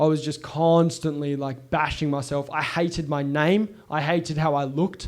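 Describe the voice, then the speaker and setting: A man's fairly high-pitched voice in a monotone, flat intonation. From Scotland, raised in Perth area Australia from childhood. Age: 20s. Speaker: podcast host. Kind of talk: personal storytelling monologue. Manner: casual, candid with swearing.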